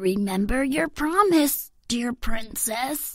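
A woman does a put-on character voice, high-pitched and croaky. She speaks at a very slow pace.

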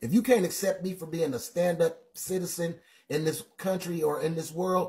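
Speaking at a moderate pace against a quiet background, a man with a high pitch and a dark, mellow tone uses ordinary pitch variation. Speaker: livestream Bible teacher. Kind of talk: sermon-like livestream commentary. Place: home room.

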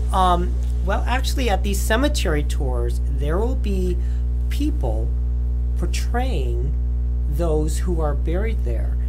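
The speech is very slow. Music can be heard in the background. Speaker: interview guest. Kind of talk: interview answer. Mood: cheerful, playful. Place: home room.

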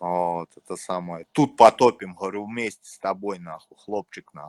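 A man in a Moscow accent with ordinary pitch variation. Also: dry, close sound with no echo. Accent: Moscow Russian. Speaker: chat roulette stranger. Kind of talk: casual chat. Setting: video call.

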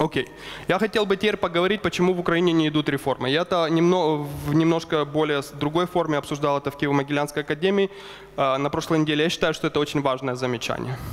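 A man at a very fast pace, with fairly even intonation and very even loudness. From Ukraine. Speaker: economist. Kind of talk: lecture. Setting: stage with audience. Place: hall.

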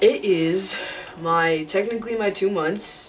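A man talks in a high pitch. Clear music plays in the background. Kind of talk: casual talk to camera. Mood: relaxed, slightly excited. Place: home room. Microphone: webcam.

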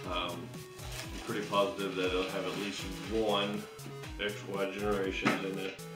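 A man speaks at a fairly slow pace. Clear music plays in the background. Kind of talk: casual show-and-tell commentary. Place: home room.

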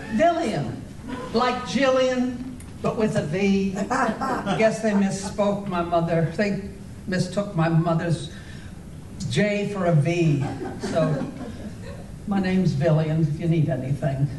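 A very slow delivery with long, frequent pauses over noticeable background noise. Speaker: amateur actor playing a waitress. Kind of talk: scripted comedy dialogue. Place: hall. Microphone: camera far.

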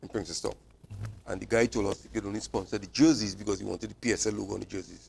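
A man with a fairly low pitch and vocal fry talks at a very fast pace. Light background noise sits behind him. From Trinidad and Tobago. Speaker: cycling club president and manager. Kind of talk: TV sports interview. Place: studio. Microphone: lapel.

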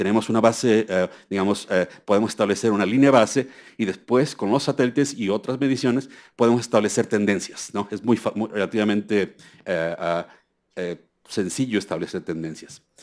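A man speaks at a moderate pace with a fairly low pitch and ordinary pitch variation against a quiet background. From Mexico. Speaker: environmental scientist giving a keynote; seminar lecturer. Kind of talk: conference lecture. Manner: halting, many fillers. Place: hall. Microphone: podium.

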